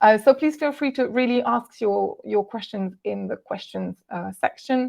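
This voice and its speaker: Against a quiet background, a woman with a Walloon accent speaks at a moderate pace and medium pitch. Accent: French-speaking Belgian. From Belgium, French-speaking. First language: French. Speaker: translator and software ambassador. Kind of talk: webinar presentation. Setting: online webinar. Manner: hesitant with frequent fillers.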